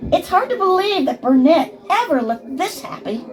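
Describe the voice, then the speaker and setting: A woman puts on a character voice at an extremely high pitch with very wide pitch swings. She keeps a moderate pace over clear background noise. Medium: machinima. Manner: bright, brisk.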